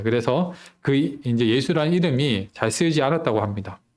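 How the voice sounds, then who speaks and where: On a very clean recording with a silent background, a man at medium pitch talks at a very fast pace with lively intonation. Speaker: preacher. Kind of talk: sermon. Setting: church.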